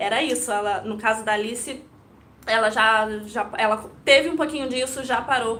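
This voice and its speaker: Amid noticeable background noise and audible room echo, a woman speaks at a moderate pace with a fairly high pitch and fairly even intonation. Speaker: Montessori educator. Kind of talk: live stream talk to viewers. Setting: live video stream. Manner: occasional stumbles.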